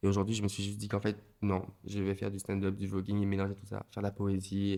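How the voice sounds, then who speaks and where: A man speaks at a very fast pace in a fairly low pitch with a dark, mellow tone. His intonation is monotone and flat. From Martinique. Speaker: comedian and voguing dancer. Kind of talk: podcast interview. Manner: halting, many repetitions and fillers.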